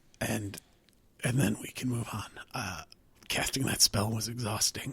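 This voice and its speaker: A man puts on a raspy character voice at medium pitch. He speaks at a fairly slow pace. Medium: actual play.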